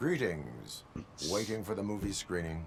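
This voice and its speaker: A man talks at a moderate pace in a put-on character voice with fairly low pitch. Clear background noise runs behind him. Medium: video game. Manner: flat, clipped, formal.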